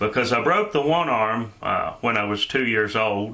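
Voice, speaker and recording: A man with a slight Shenandoah Valley accent talks at a fairly slow pace over noticeable background noise. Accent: slight Southern accent, Shenandoah Valley. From Shenandoah Valley, Virginia. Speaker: YouTuber, vlogger. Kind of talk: casual vlog monologue. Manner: hesitant, many filler uhs.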